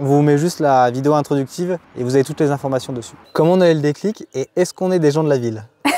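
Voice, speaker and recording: Speaking very fast with hardly any pauses, a man with a fairly high pitch and ordinary pitch variation sounds dry and close, with no echo. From northern France, rural Picardy near Amiens. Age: 30s. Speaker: youtuber, off-grid homesteader. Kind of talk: casual chat.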